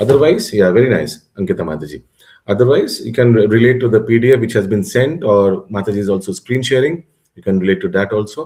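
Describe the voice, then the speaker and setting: Talking very fast in a Bengali accent, a man speaks at a medium pitch with a dark, mellow tone. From Bengal, India. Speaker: religious course teacher. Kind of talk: online class lecture. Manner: halting, many fillers and restarts.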